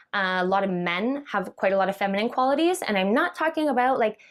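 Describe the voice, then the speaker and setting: On a very clean recording with a silent background, a woman with a medium pitch sounds energetic and animated, her intonation lively and her pace fairly quick. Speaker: entrepreneur and vlogger. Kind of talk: vlog monologue.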